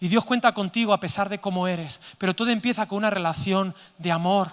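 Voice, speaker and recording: A man with a Zaragoza accent speaks in a raised, projected voice at a moderate pace. His tone is animated, bright and sharp. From Spain, Zaragoza (Aragon). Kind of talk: sermon-style conference talk. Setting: stage with audience. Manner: animated, interactive with audience.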